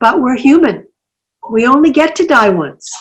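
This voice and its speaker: A woman with a Canadian accent speaks with lively intonation. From Canadian prairies. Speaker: senator and human rights lawyer. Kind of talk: interview answer.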